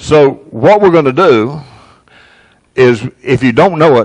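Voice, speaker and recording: Male speech, quiet surroundings. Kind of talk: casual announcements to congregation. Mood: light, joking. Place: church.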